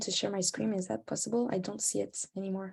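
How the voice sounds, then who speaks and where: Somewhat breathy and dark, mellow in tone, a woman with a French accent speaks at a moderate pace. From France. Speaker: climate campaigner. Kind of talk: presentation.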